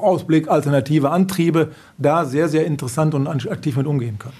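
A man talks with fairly high pitch and ordinary pitch variation. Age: 50s. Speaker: car dealership managing director. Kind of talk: interview. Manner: calm.

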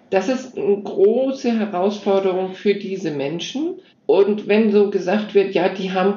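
Fairly slow speech with ordinary pitch variation comes through audible room echo and noticeable background noise. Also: woman. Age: 60s. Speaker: nonprofit founder and digital educator for seniors. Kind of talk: interview.

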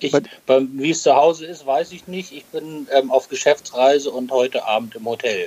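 A man with a fairly high pitch talks at a moderate pace in a normal speaking voice. His pitch variation is ordinary, while his loudness swings widely. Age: 40s. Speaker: podcast co-host, medical tech sales rep. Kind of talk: casual podcast chat. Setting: hotel room, remote recording.

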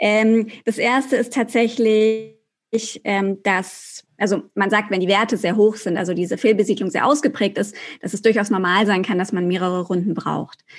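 A woman's normal speaking voice at medium pitch and moderate pace, with fairly even intonation. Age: 30s. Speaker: journalist and podcaster. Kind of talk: interview.

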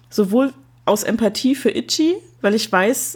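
This woman's voice is somewhat breathy and fairly high in pitch. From East Germany. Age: 30s. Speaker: podcaster. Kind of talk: casual chat.

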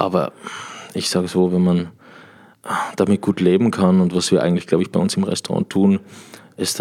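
This man has a dark, mellow tone and an Austrian accent. He talks at a fairly quick pace with ordinary pitch variation. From Austria, Tyrol. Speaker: sommelier. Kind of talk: casual chat. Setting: hotel room.

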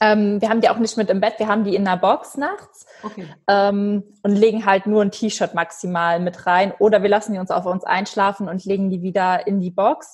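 A woman's ordinary speaking voice at a medium pitch, with fairly even intonation and a moderate pace. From western Germany, Eifel. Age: 20s. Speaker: animal welfare volunteer. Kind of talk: interview.

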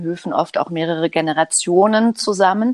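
In a dry, close recording with no echo, a woman speaks at a fairly slow pace with a fairly low pitch and ordinary pitch variation. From Germany, Hamburg. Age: 50s. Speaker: psychologist. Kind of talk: interview. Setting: remote call from home living room.

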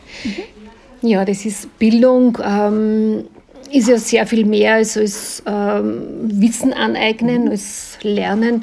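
Through noticeable background noise, a woman speaks at a very slow pace in a fairly high pitch with monotone, flat intonation. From Austria, Linz. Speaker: podcast host. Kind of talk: interview. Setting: restaurant by a lake.

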